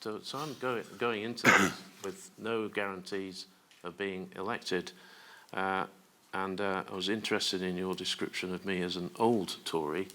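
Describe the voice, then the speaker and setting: The man's tone is bright and sharp, his pitch fairly low. He keeps a moderate pace. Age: 60s. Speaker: politician. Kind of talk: press conference remarks. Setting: press conference.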